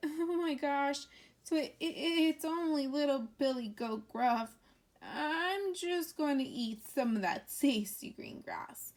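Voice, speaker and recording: A woman's put-on character voice, high-pitched, nervous and shaky, at a fairly slow pace. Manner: quivering, nervous, scared.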